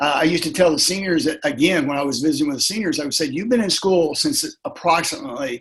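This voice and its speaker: Lively in intonation, a man with a normal speaking voice talks at a fairly high pitch. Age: 60s. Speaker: leadership coach and former principal. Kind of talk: interview conversation.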